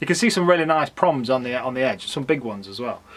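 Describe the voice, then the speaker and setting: Someone talks at a very fast pace with an English accent, with noticeable background noise behind the speech. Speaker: fossil hunter and YouTuber. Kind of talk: casual vlog narration. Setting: outdoors in back garden.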